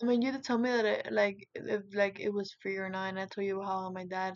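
A woman speaks with a Spanish accent at a medium pitch. Her pace is fairly quick. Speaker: interviewee, Cuban immigrant. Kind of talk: interview. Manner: halting, many fillers.

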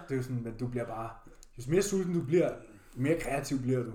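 A man talks with lively intonation, and audible room echo surrounds his voice. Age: 20s. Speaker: bodybuilder and fitness podcast co-host. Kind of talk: casual chat.

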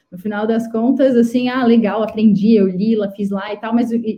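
A dark, mellow, somewhat breathy tone, monotone and flat, at a moderate pace. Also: woman. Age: 30s. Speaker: startup CEO and founder. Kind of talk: live interview chat.

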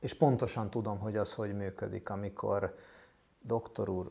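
This man talks at a fairly slow pace in a medium pitch, with an unremarkable speaking voice. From Hungary, Budapest. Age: 40s. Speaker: mental health professional and summit host. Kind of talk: interview.

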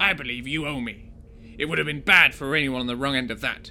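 A man does a put-on character voice at a medium pitch, speaking at a very fast pace. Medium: read story. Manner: terse, clipped.

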